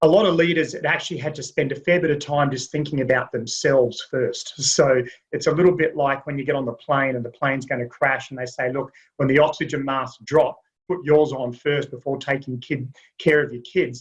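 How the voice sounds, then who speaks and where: Somewhat breathy and fairly high-pitched, a man speaks at a fairly quick pace with fairly even intonation. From US South (Alabama). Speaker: executive search and leadership consultant. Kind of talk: webinar panel discussion.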